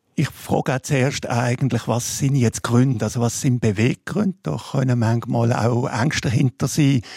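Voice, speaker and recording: Somewhat breathy and medium in pitch, a man speaks at a moderate pace in a dry, close sound with no echo. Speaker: public health physician. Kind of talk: radio panel discussion.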